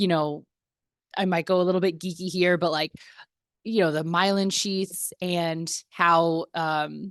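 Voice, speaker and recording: Dry and close with no echo over a quiet background, a woman's fairly low voice moves at a fairly slow pace in a flat monotone. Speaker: personal trainer. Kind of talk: casual video tutorial.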